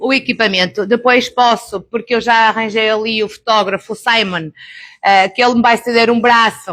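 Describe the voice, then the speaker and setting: In a European Portuguese accent, a woman speaks at a fairly quick pace with a bright, sharp tone and fairly high pitch, her intonation fairly even and her loudness very even. The recording is very clean, with a silent background. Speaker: beauty therapist and laser trainer. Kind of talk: live workshop presentation. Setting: live event with audience.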